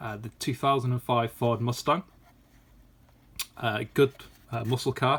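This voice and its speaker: Using a British accent, a man speaks at a medium pitch and a fairly slow pace, with fairly even intonation and long, frequent pauses. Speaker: toy collector YouTuber. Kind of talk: casual unboxing video. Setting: at home. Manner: hesitant, many fillers.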